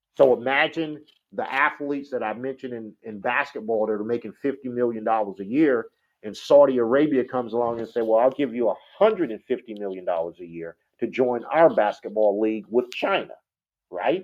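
A man with an unremarkable speaking voice, moderate pace, medium pitch and ordinary pitch variation. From Detroit and Toronto. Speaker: military veteran and entertainment entrepreneur. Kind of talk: interview.

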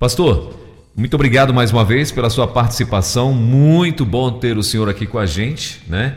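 Noticeable background noise sits under the recording. A man speaks at a moderate pace, his pitch varying in an ordinary way. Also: medium pitch for a man. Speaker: radio host. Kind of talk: radio talk show.

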